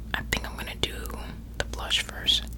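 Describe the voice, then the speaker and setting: A woman whispers in a soft-spoken way. Noticeable background noise runs beneath her. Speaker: ASMR creator. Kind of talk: ASMR makeup tutorial ramble. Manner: whispered, soft-spoken.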